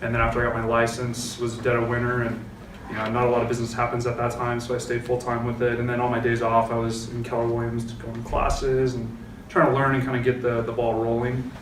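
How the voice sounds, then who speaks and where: In an American accent, the speaker talks at a very fast pace with monotone, flat intonation, amid audible room echo and noticeable background noise. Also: man, medium pitch for a man. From US West Coast, San Francisco Bay Area, California. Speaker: real estate agent. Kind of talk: panel discussion.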